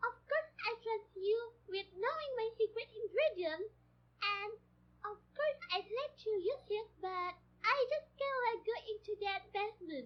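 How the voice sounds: A put-on character voice, female-sounding and extremely high in pitch, at a fairly slow pace.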